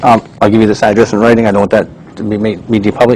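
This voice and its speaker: A man with a fairly low pitch talks at a very fast pace in a monotone, flat intonation over noticeable background noise. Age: 60s. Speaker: private investigator testifying as a witness. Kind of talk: deposition testimony. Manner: hesitant, many fillers.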